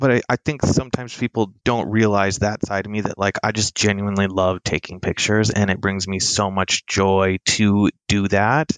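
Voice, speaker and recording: A man with an unremarkable speaking voice, fairly low in pitch, at a moderate pace with hardly any pauses and fairly even intonation, in a dry, close sound with no echo. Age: 30s. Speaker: photographer. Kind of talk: casual chat.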